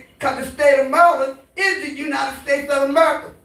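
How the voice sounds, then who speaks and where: A woman's animated, high voice at a fairly quick pace with ordinary pitch variation and audible room echo. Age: 70s. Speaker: community activist. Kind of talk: town hall comment.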